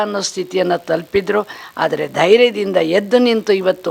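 A woman speaks with vocal fry at a medium pitch. Her pitch variation is ordinary. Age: old. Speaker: retired school headmistress. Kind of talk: testimonial. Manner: formal.

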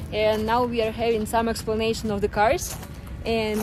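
Over clear music in the background, a woman speaks at a moderate pace in a monotone with flat intonation, the sound dry with no echo. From Siberia, Russia. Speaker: travel vlogger. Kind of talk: casual talk to camera.

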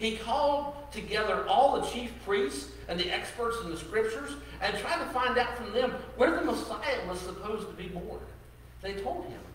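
A man talks at a moderate pace, with audible room echo and light background noise in the recording. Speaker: pastor. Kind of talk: sermon. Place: church.

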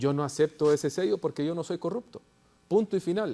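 Fairly high in pitch with ordinary variation, a man with a dark, mellow tone talks at a fairly quick pace. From Honduras. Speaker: party politician. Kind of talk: political talk show panel. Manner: interrupts heatedly at times. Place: studio. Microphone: lapel.

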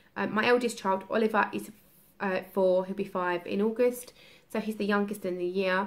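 At a moderate pace, a woman talks. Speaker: parent vlogger. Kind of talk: casual vlog chat. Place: home room. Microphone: phone near.

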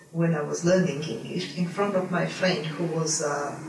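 A woman's low-pitched voice at a moderate pace, fairly even in intonation, with audible room echo

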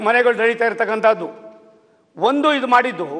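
Against a quiet background, a man speaks at an extremely high pitch. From Karnataka. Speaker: government minister. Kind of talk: parliamentary debate speech. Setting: legislative assembly. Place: hall. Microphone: podium.

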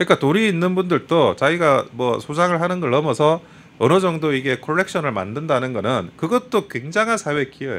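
At a fairly quick pace, a man with a fairly high pitch speaks with lively intonation in an unremarkable speaking voice. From South Korea, Busan; South Korea. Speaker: lawyer, political commentator. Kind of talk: talk show interview. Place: studio. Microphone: studio mic.

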